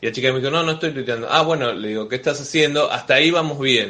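A man with a fairly high pitch talks very fast, his pitch varying in an ordinary way, while noticeable background noise carries on. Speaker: comedian and podcast host. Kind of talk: casual chat. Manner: animated.

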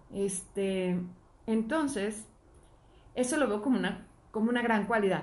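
Loudness stays very even while the pace runs fairly slow, broken by long, frequent pauses. Room echo is audible, and there is noticeable background noise. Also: woman, fairly high pitch for a woman, ordinary pitch variation. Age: 40s. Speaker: podcast co-host. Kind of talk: casual chat.

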